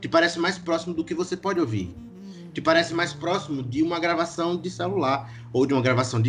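A man speaks at a fairly quick pace with a fairly high pitch. Music plays in the background. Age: 20s. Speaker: drummer in an indie band. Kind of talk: casual podcast interview.

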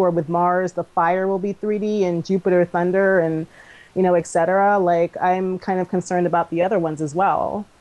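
A woman's medium-pitched voice carries a dark, mellow tone at a moderate pace. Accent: American. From Maryland, DC area. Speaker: cosplayer. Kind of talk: casual chat.

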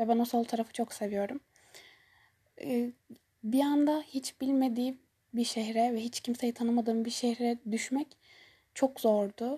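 A woman with a high pitch and a dark, mellow tone speaks fairly slowly with fairly even intonation and long, frequent pauses, the sound dry and close with no echo. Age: 20s. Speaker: university student and podcast host. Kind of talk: solo monologue, personal storytelling. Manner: hesitant, many filler sounds.

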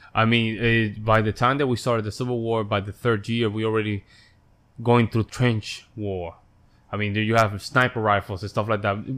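A man with a Spanish accent speaks at a moderate pace and medium pitch in a monotone, flat way. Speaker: musician and podcaster. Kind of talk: casual chat.

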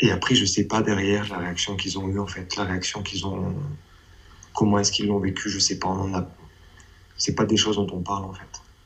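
A man with a fairly low pitch talks at a fairly quick pace in a monotone, flat intonation. Long, frequent pauses break up his speech, and the room echo is audible. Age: 30s. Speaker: abuse survivor giving testimony. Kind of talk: testimony. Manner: halting.

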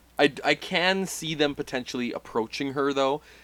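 Using a plain, everyday voice, a man talks at a moderate pace with lively intonation. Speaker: podcast host. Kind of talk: casual banter, wrestling talk.

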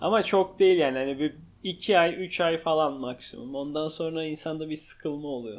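A man has a normal speaking voice with a fairly high pitch. He talks at a moderate pace with ordinary pitch variation. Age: 20s. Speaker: podcast co-host, operations manager. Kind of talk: casual chat. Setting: home living room.

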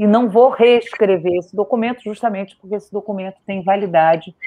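Speaking in a normal speaking voice at a medium pitch, a woman moves at a fairly quick pace with ordinary pitch variation. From Rio de Janeiro, Brazil. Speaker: synod auditor and activist. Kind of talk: podcast interview. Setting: online live stream.

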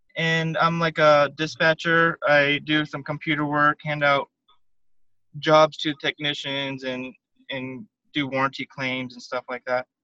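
Bright and sharp in tone, a man speaks at a fairly high pitch and fairly slow pace with monotone, flat intonation and big swings in loudness, in a dry, close sound with no echo. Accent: American. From Arizona, Tucson. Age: 30s. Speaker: spinal cord injury survivor. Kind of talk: interview.

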